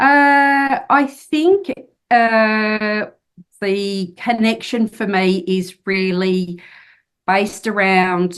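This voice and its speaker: Against a quiet background, the pitch varies in an ordinary way. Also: woman. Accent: Australian. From Australia, country New South Wales. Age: 50s. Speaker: author and solo traveller. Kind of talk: podcast interview.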